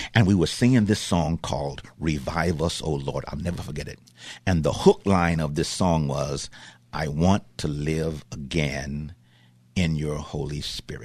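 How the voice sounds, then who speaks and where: A man's voice sits very deep and low, with vocal fry and ordinary pitch variation. His tone is animated and his pace fairly slow. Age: 70s. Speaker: pastor. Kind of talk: radio interview. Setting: studio.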